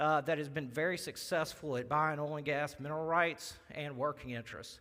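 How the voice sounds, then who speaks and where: With a strong Southern accent, a man speaks in a bright, sharp tone on a very clean recording with a silent background. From Louisiana (Baton Rouge). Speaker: wealth manager. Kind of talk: presentation. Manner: halting, many fillers.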